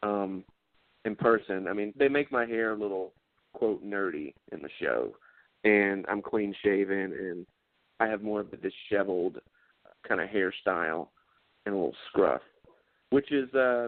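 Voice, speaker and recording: In a Southern US accent, a man speaks at a fairly low pitch and moderate pace with ordinary pitch variation and long, frequent pauses. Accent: southern twang. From South Carolina, near Charlotte. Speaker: actor. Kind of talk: casual interview chat.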